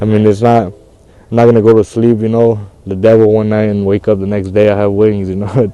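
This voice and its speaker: A man with an American accent speaks fairly quickly in a flat monotone, his fairly low voice dark and mellow in tone. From Santa Barbara, California. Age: young. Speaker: former dropout, program participant. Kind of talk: interview. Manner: casual, halting.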